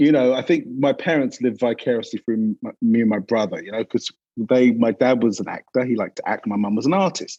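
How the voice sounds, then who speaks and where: With a London accent, a man talks at a fairly quick clip with hardly any pauses, his medium-pitched voice dark and mellow. Pitch varies in an ordinary way, and the sound is dry and close with no echo. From England, North London. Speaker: advertising creative director. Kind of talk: interview conversation.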